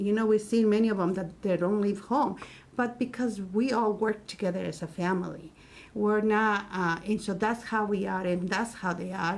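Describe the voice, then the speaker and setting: In a Spanish accent, a woman speaks with fairly even intonation. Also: medium pitch for a woman, moderate pace. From Mexico City, Mexico. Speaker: Spanish teacher. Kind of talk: casual chat. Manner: halting.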